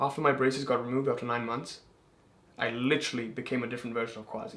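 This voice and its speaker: An animated man at medium pitch, talking at a very fast pace amid audible room echo. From England. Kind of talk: casual chat.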